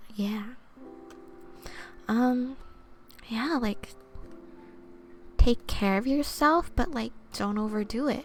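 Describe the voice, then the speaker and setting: Soft-spoken woman at a very slow pace, with music in the background. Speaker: vtuber and twitch streamer doing ASMR. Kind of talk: oracle card reading, soft-spoken ASMR stream. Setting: live stream. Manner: soft-spoken, casual, friendly.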